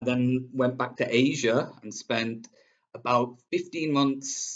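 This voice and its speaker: A man's medium-pitched voice with a Manchester accent. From northern England, Manchester. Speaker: English teacher. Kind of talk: self-introduction video. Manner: hesitant, many fillers.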